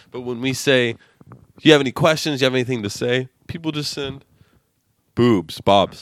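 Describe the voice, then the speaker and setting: This man speaks at a moderate pace and medium pitch, with ordinary pitch variation. His delivery has long, frequent pauses and big swings in loudness. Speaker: podcast host. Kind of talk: casual banter.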